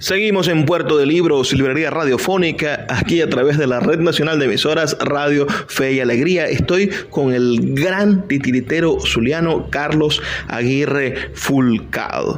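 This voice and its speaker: A man speaks with a fairly high pitch, ordinary pitch variation and very even loudness. His pace is fairly slow with hardly any pauses, over noticeable background noise. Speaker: radio host. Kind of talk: radio interview host.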